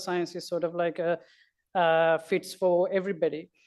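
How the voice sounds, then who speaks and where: She speaks with a non-native accent at a fairly low pitch. The woman's intonation is monotone and flat, and the background is quiet. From Sri Lanka. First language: not English. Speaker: astronomy educator. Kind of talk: panel talk. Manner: halting.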